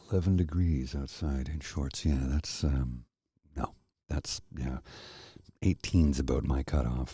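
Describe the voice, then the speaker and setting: In a Canadian accent, a man with a very deep, low, somewhat breathy voice and a dark, mellow tone speaks at a fairly slow pace in a soothing, calm tone, using ordinary pitch variation and long, frequent pauses. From Canada. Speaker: narrator. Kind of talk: casual talk to camera.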